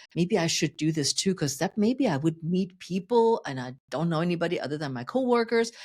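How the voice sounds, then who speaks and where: With a German accent, a woman speaks at a fairly low pitch, her voice swinging very widely up and down. There are hardly any pauses, and the recording is very clean with a silent background. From Germany. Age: 60s. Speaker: fitness coach. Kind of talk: podcast interview. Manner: animated.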